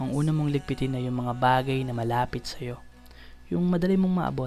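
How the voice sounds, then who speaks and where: A soft-spoken woman with a gentle tone and a very deep, low pitch, fairly even in intonation and fairly quick in pace, over music in the background. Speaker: spoken word poet. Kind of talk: spoken word poetry performance. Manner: gentle, soft delivery.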